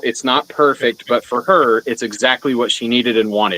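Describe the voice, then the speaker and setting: A man speaks at a fairly quick pace. His pitch is medium with ordinary variation. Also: dry, close sound with no echo. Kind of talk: casual chat. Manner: loud.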